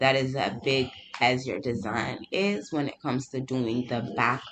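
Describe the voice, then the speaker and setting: Speech comes at a fairly slow pace while noticeable noise sits behind it. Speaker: small business owner and crafter. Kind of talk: tutorial. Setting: home studio.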